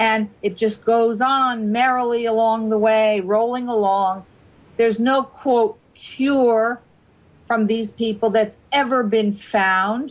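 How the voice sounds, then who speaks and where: A woman talks at a very slow pace in a fairly high pitch. Her loudness stays very even. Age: 60s. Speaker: guest on talk radio, government critic. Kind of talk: radio talk show discussion. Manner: animated.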